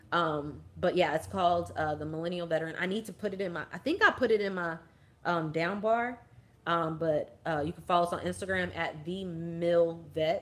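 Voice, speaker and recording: A woman speaks at a fairly low pitch with fairly even intonation and big swings in loudness. The recording is very clean with a silent background. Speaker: army veteran vlogger. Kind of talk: casual livestream chat. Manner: fast.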